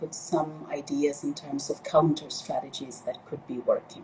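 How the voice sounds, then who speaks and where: A woman keeps a moderate pace while noticeable background noise is heard behind her. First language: Spanish. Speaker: organizer at a feminist think tank, live stream host. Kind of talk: live stream introduction. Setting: Instagram live stream. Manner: hesitant, many fillers.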